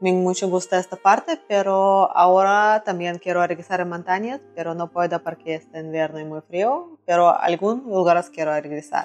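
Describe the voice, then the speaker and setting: A woman's medium-pitched voice in a Russian accent at a moderate pace, with music in the background. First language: Russian (speaking Spanish). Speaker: traveler. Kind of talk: interview. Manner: halting.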